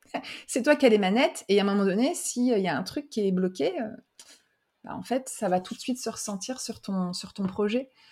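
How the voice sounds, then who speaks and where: Intonation is lively in this woman's delivery. A somewhat breathy quality runs through her voice. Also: medium pitch for a woman, moderate pace. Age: 40s. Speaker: podcast host and brand consultant. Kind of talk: interview conversation. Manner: casual, with fillers.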